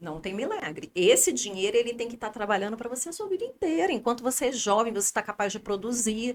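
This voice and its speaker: Against noticeable background noise, a woman speaks at a very fast pace with hardly any pauses, her fairly high pitch showing very wide swings and her loudness shifting a lot. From Brazil, Rio de Janeiro. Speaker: podcast guest, finance planner. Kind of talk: casual interview chat.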